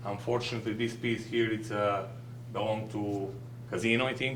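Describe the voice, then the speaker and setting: In a room with audible echo, a man speaks at a fairly quick pace in a medium pitch with monotone, flat intonation. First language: not English. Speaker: business owner presenting to village board. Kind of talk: public presentation at board meeting. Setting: village board meeting. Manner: halting.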